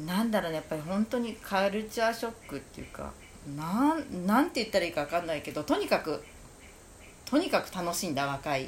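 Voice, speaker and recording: Her pitch leaps up and down very widely. This woman's delivery is fairly quick. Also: medium pitch for a woman. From Japan, Kamakura. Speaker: shop owner. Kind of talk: casual chat.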